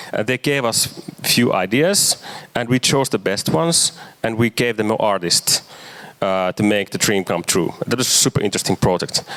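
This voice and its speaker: A man with a medium pitch speaks at a moderate pace with lively intonation and very even loudness. Noticeable background noise is present. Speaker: marketer and urban activist. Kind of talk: lecture. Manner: halting, many fillers.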